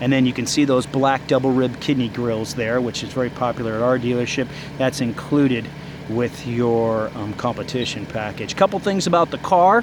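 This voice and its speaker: A man with a medium pitch and an enthusiastic tone, over noticeable background noise. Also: ordinary pitch variation. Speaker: car dealership salesman and reviewer. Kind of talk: car walkaround review. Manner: fast.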